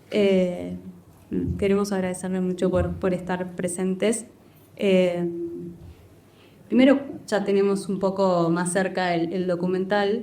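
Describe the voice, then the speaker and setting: A woman with a medium pitch and a dark, mellow tone speaks at a fairly slow pace in a monotone, flat delivery. Long, frequent pauses break up her speech, and room echo is audible. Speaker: moderator of a university panel. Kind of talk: panel discussion moderation. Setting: screening room with audience. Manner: hesitant, many fillers.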